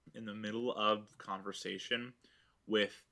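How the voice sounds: Simply a natural reading voice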